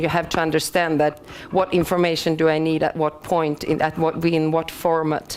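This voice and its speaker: A woman speaks with a Swedish accent at a moderate pace. Her pitch sits fairly low. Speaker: BIM consultant. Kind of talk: conference presentation. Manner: halting.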